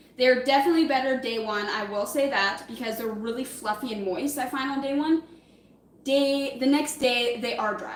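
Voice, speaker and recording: The speaker uses ordinary pitch variation. Noticeable background noise and audible room echo are present. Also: woman, high pitch for a woman. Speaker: livestreamer. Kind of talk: casual live-stream cooking chat. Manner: fast.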